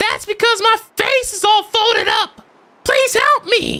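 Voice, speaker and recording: A man puts on a character voice, pitched extremely high and delivered fairly slowly. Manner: panicked, pleading.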